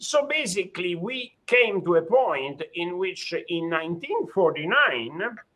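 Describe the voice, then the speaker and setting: With an Italian accent, a man speaks in a high voice at a fairly slow pace, making very wide pitch swings and hardly any pauses. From Italy. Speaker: judge. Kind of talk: lecture. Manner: halting, many fillers.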